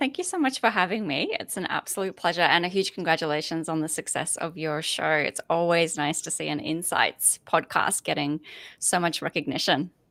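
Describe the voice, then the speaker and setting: A woman with an Australian accent, fairly low in pitch, bright and sharp in tone, with ordinary pitch variation and hardly any pauses, on a very clean recording with a silent background. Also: moderate pace. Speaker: corporate foresight lead, podcast host. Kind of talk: interview conversation.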